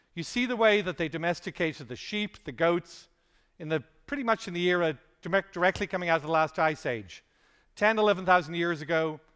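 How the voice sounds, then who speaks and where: A high-pitched man with an Irish accent at a fairly quick pace, on a very clean recording with a silent background. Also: ordinary pitch variation. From Ireland. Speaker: conference speaker. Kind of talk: conference keynote talk.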